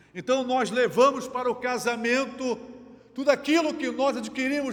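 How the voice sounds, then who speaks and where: Noticeable background noise sits behind a man's extremely high voice. He keeps fairly even intonation at a moderate pace. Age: 60s. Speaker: pastor. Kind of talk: sermon.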